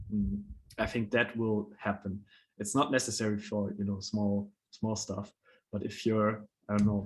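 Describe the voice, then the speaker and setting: A man's fairly low voice with a non-native accent, monotone and flat, at a moderate pace. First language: not English. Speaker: NFT platform founder presenting a proposal. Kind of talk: online panel discussion. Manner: halting, with many fillers.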